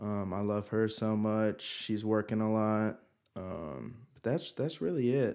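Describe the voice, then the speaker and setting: A man speaks at a fairly slow pace with big swings in loudness and ordinary pitch variation. His pitch is fairly low, and he has an ordinary speaking voice. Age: 20s. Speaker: pool service worker. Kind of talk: casual chat.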